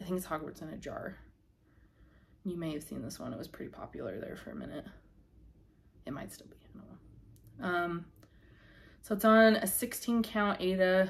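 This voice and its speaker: Mumbling and somewhat breathy, a woman speaks at a medium pitch with lively intonation and long, frequent pauses. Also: moderate pace, big swings in loudness. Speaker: crafting youtuber. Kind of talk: casual show-and-tell vlog. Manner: hesitant, filler-heavy.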